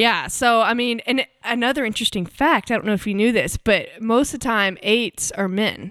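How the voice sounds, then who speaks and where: A woman with an American accent, fairly high in pitch with ordinary pitch variation, at a moderate pace with hardly any pauses and very even loudness, on a very clean recording with a silent background. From US South. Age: 20s. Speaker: singer-songwriter.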